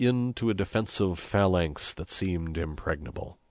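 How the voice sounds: The speaker has a natural reading voice. It comes across clearly.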